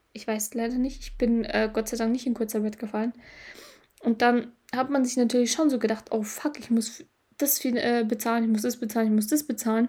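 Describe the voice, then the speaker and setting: A woman talks at a fairly quick pace in a fairly high pitch. Her tone is dark and mellow, and her intonation stays monotone and flat. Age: 20s. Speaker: podcast host, mindset coach. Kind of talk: casual solo podcast monologue. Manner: hesitant, frequent filler sounds.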